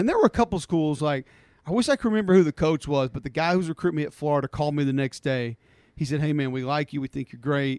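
A man with an Alabama accent at a very fast pace, fairly high in pitch with ordinary pitch variation, in a dry, close sound with no echo. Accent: Southern US (Alabama). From Alabama (Homewood, Birmingham area). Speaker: college football analyst and former player. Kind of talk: casual chat.

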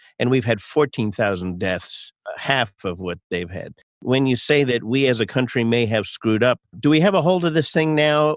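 With a plain, everyday voice, a man speaks at medium pitch and a moderate pace, his intonation lively, in a dry, close recording with no echo and a quiet background. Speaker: podcast host. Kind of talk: interview.

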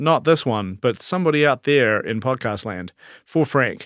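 With a New Zealand accent, a man speaks at a medium pitch and fairly slow pace, his intonation lively and the sound dry and close with no echo. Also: very clean recording, silent background. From New Zealand, South Island. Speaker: podcast co-host's husband. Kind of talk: casual chat.

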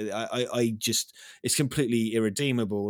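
With an East Anglian accent, a man speaks at medium pitch and a moderate pace, with ordinary pitch variation. The recording is very clean, with a silent background. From East Anglia, England. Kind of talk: casual chat. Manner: animated.

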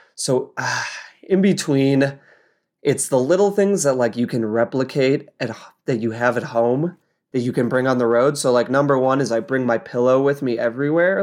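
An ordinary speaking voice: a man with an American accent, medium pitch, ordinary pitch variation and a moderate pace, in a very clean recording with a silent background. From Colorado, US. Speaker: bike racer. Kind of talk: casual interview. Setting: home office.

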